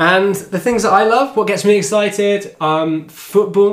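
At a very slow pace, a man talks with an English accent. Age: 20s. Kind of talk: casual chat.

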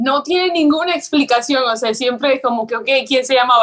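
With lively intonation and a bright, sharp tone, a woman speaks at a moderate pace in a high pitch. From Venezuela. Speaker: entrepreneur. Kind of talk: interview.

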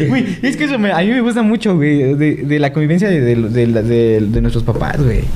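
With hardly any pauses and very even loudness, a man talks at a moderate pace in a fairly high voice with very wide pitch swings, amid noticeable background noise and audible room echo. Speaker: podcast co-host. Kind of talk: casual chat.

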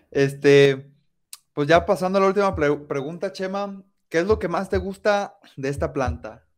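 Lively intonation carries this fairly slow delivery in a Mexican accent, on a very clean recording with a silent background. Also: man. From Mexico, coastal region. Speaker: podcast host. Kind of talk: casual interview.

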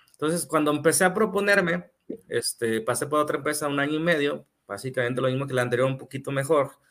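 A man speaks at a very fast pace. His voice sits fairly high. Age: 30s. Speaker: part-time pastor and civil engineer. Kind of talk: casual chat. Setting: live stream.

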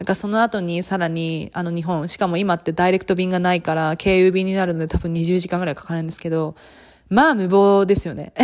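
A woman with a fairly low voice talks at a very fast pace in an animated tone. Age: 30s. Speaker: podcast host and flight attendant. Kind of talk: casual monologue.

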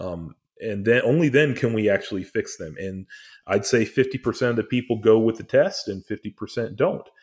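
A man with an ordinary speaking voice talks fairly quickly at a medium pitch with ordinary pitch variation, on a very clean recording with a silent background. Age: 40s. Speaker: HVAC contractor. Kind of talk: casual chat.

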